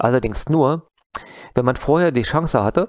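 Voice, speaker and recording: Against a quiet background, a man's speech moves at a moderate pace, his pitch varying in an ordinary way. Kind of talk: conference talk. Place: home room. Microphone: headset.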